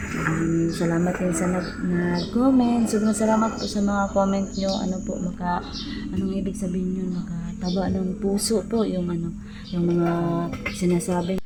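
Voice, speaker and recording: A woman at medium pitch and moderate pace, fairly even in intonation, with audible room echo and music in the background. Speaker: rural vlogger. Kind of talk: casual vlog talk to viewers. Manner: halting, many fillers.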